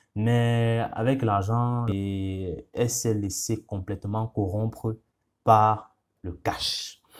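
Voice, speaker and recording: A man with a non-native accent, fairly low-pitched, very slow and monotone with flat intonation, on a very clean recording with a silent background. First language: not French (speaking French). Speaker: YouTuber. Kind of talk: casual monologue. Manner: hesitant, many fillers.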